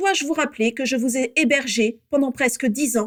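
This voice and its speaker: A woman uses a put-on character voice that is nasal and high-pitched. She speaks at a moderate pace. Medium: read story. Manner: aggressive.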